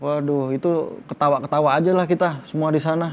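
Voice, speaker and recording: A man speaks at a fairly quick pace with a fairly high pitch. His tone is animated. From Medan, North Sumatra. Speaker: film actor. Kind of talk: interview. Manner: animated storytelling.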